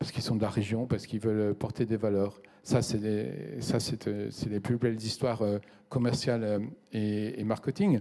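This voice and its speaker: This man's voice sits at a medium pitch and has a dark, mellow tone. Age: 60s. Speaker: company president. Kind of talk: business interview. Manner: hesitant, with many fillers.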